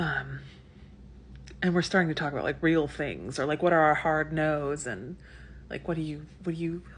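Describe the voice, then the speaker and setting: Whispering from a woman, with vocal fry and long, frequent pauses. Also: moderate pace. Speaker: lifestyle vlogger. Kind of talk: casual vlog storytelling. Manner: chatty, filler-heavy.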